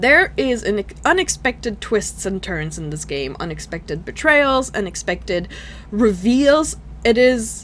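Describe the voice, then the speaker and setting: Speaking at a moderate pace, a woman talks with a non-native accent. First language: not English. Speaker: gaming YouTuber. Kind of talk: video game review. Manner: casual, halting with fillers.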